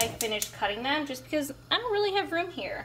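A woman's voice against noticeable background noise. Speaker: home cook vlogger. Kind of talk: casual cooking tutorial chat. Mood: relaxed and friendly. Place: kitchen. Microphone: phone near.

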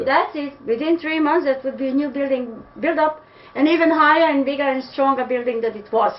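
Her pitch is high and her intonation fairly even. The woman talks at a fairly quick pace. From Serbia (Pančevo). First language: Serbian. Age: old. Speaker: interviewee. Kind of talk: interview answer. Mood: disappointed, indignant. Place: home room. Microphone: webcam.

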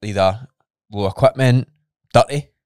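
A man speaks in a Scottish accent with ordinary pitch variation, dry sound with no echo and a quiet background. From Scotland. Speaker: podcast co-host; podcast co-host, fitness coach. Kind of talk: casual chat. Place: studio. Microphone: studio mic.

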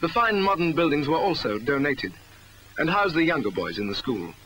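A man with a British accent and a fairly high pitch at a moderate pace, in dry sound with no echo over light background noise. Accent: British, formal 1960s narrator. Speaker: documentary narrator. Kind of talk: 1961 school promotional film narration. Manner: formal, measured, earnest newsreel-style delivery. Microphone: old recording.

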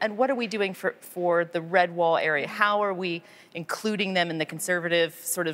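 An ordinary speaking voice with an American accent. It moves at a fairly quick pace with ordinary pitch variation. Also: woman. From United States. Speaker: member of parliament. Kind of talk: interview. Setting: on location at a film studio. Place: studio.

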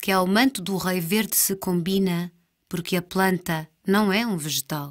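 A woman with a plain, everyday voice speaks at a medium pitch and fairly slow pace, her intonation fairly even. The recording is very clean with a silent background. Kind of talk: staged dialogue reading of surrealist verse, alternating with another voice. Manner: dreamlike, deliberate, theatrical.

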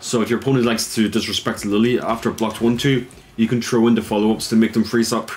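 Very fast, monotone, flat speech from a man at medium pitch with an Irish accent, very even in loudness, with noticeable background noise. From Ireland. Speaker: esports player. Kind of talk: tutorial.

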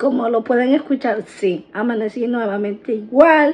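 At a fairly slow pace, a woman speaks in a hoarse voice with a high pitch. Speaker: vlogger. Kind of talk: casual vlog chat. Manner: hoarse voice, still sick. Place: kitchen. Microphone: phone near.

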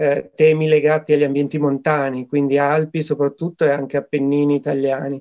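A man with a fairly high pitch and a dark, mellow tone talks at a moderate pace, his intonation fairly even. The background is quiet. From northern Italy, Turin. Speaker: association director, mountain studies. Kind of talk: interview answers. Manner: hesitant, with fillers and repetitions. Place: home room. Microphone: webcam.

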